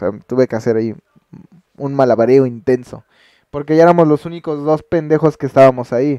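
A man with a Mexican accent, fairly high in pitch and dark, mellow in tone, with ordinary pitch variation at a moderate pace, in a dry, close sound with no echo. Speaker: streamer. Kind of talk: casual vlog.

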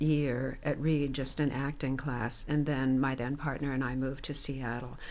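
With audible room echo, a woman speaks at a very deep, low pitch with an American accent. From US West, Reno, Nevada. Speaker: retired theater professor and actress. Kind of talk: interview storytelling. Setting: studio.

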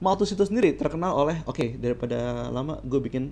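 Lively intonation marks this man's speech at a moderate pace. He has an unremarkable speaking voice of medium pitch. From Indonesia, Jakarta. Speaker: teacher. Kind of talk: lecture. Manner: casual, conversational.

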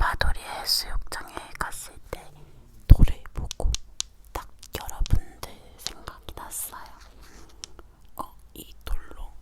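Noticeable background noise runs beneath a very slow whisper broken by long, frequent pauses. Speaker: ASMR creator. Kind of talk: whispered ASMR talking. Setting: pin microphone close-up.

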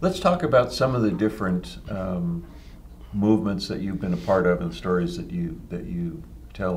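A man speaks at a moderate pace in a very deep, low voice, his pitch swinging very widely over light background noise. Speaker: magazine publisher and interviewer. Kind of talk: interview. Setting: office. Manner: halting. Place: office.

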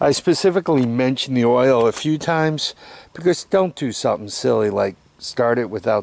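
The sound is dry with no echo as a man speaks with ordinary pitch variation. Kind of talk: tutorial. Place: street. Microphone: phone near.

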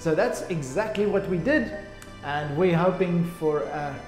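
There is audible room echo as a man talks with faint music in the background. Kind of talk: informational talk to camera. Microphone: phone near.

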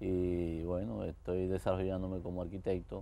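A man speaks at a moderate pace with a very deep, low pitch. His tone is dark and mellow. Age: 60s. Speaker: architect giving faith testimony; guest. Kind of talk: TV interview testimony. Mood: warm, cheerful storytelling. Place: studio. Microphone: lapel.

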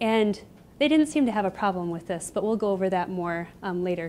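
A woman talks with an American accent and ordinary pitch variation. Light background noise can be heard. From US Midwest, Iowa. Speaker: graduate student; presenter. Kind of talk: lecture. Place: classroom. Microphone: handheld.

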